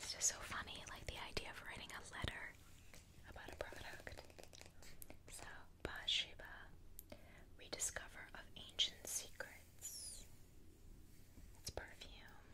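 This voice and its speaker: Whispering at a very slow pace, a woman leaves long, frequent pauses, and her loudness swings widely. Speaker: ASMR creator. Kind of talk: ASMR magazine flip-through, casual talk to camera. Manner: whispered.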